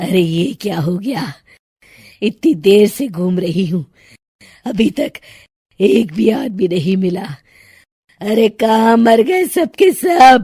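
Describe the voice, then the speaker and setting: A woman puts on a cartoonish character voice, raspy and cackling, at medium pitch. She goes at a fairly slow pace with long, frequent pauses. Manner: cackling, taunting.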